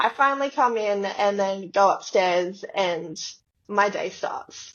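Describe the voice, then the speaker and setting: A woman speaks with an Australian accent at a very slow pace. Her medium-pitched voice has ordinary pitch variation. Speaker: dancer. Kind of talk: casual chat. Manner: animated.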